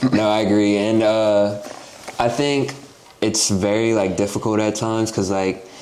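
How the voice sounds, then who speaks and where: Monotone, flat delivery from a man with a fairly low voice, moderate pace and very even loudness, with audible room echo. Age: 20s. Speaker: podcast host. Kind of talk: casual chat.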